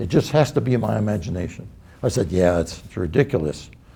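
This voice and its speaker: A man with an American accent has a dark, mellow tone and a somewhat breathy sound. He talks at a moderate pace with very wide pitch swings. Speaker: World War II veteran, Air-sea Rescue. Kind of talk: personal war anecdote told to camera.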